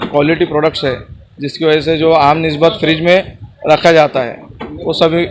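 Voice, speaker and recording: Against noticeable background noise, a man speaks in a fairly high, monotone, flat voice. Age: 20s. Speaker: shop owner. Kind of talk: promotional interview.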